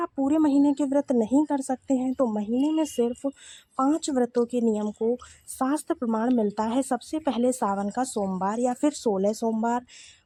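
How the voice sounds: Heard in a dry, close sound with no echo, a woman with a high pitch and a dark, mellow tone speaks with ordinary pitch variation.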